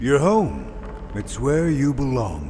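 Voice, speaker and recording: Clear background noise can be heard. A man speaks in a put-on character voice. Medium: video game. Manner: coaxing.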